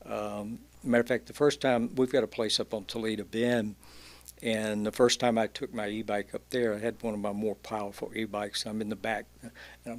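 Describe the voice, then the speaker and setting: With a Louisiana accent, a man talks at a fairly quick pace. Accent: Louisiana Southern US. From Louisiana (Alexandria). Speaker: entrepreneur, e-bike shop owner. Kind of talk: casual chat.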